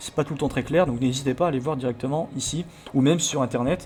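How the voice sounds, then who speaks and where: Someone speaks at a fairly quick pace with fairly even intonation over music in the background. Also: man. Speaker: let's play video creator about hacking games. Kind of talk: let's play commentary with tutorial explanations. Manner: stumbling over words, many hesitations.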